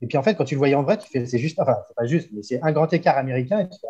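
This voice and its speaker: A man's dark, mellow tone comes with lively intonation. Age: 40s. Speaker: inline skater, photographer and fitness coach. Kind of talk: casual interview.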